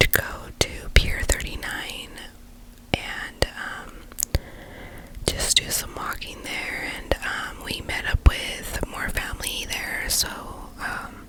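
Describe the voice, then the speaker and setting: A woman whispering at a very slow pace, with long, frequent pauses, big swings in loudness and noticeable background noise. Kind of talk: ASMR whispered life update ramble. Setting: close microphone. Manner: whispered.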